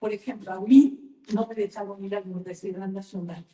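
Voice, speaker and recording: A woman's somewhat breathy, dark, mellow voice at a medium pitch, with fairly even intonation and a fairly slow pace. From Mexico. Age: 80s+. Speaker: novelist. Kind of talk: book talk interview. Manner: halting with repetitions.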